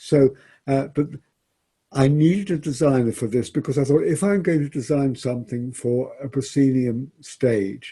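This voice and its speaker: A man with a medium pitch speaks at a moderate pace in a dark, mellow, somewhat breathy tone with ordinary pitch variation. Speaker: theatre director. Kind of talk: interview conversation. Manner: halting.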